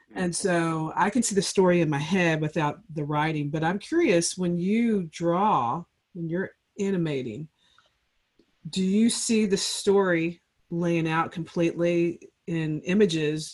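A woman with a fairly low pitch and a normal speaking voice talks at a fairly slow pace. Her pitch variation is ordinary. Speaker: podcast host. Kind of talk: casual interview.

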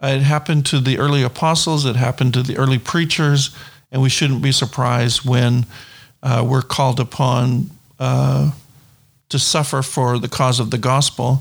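Somewhat breathy, a man of medium pitch speaks at a moderate pace with fairly even intonation and very even loudness. The recording is very clean, with a silent background. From New Brunswick, Canada. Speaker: missionary and Bible college instructor. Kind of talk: interview.

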